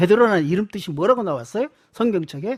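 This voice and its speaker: This is a very clean recording with a silent background. The speaking pace is moderate. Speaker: pastor and church history teacher. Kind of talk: sermon. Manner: animated.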